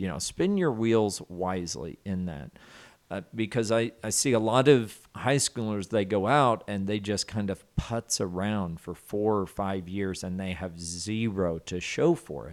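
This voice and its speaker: In a Southern US accent, a man with a fairly low pitch talks at a fairly slow pace and ordinary pitch variation, on a very clean recording with a silent background. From US South, southwest Arkansas. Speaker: college student dean. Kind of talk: casual interview.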